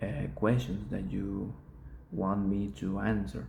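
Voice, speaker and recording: With a Spanish accent, a man talks in a fairly low, dark, mellow voice, and the room echo is audible. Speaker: student. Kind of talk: oral exam reflection. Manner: halting, with pauses; slow.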